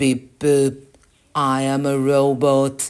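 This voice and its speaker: A put-on character voice, low-to-middle in pitch, flat and monotone. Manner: playful demonstration of character voices.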